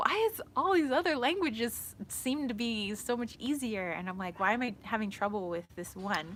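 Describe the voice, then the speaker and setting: A woman's fairly high pitch with very wide pitch swings, a moderate pace, hardly any pauses, and a strong American accent. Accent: thick American. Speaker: spiritual tarot reader livestreamer. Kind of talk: casual livestream chat. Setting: outdoors in the shade. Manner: rambling with many fillers.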